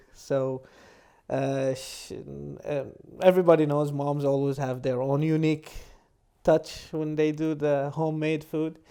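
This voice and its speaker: At a fairly slow pace, with long, frequent pauses, a man with an American accent speaks in a fairly high pitch, a dark, mellow tone and monotone, flat intonation. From Michigan, USA, with time in eastern Saudi Arabia. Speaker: medical doctor and researcher. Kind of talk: casual chat.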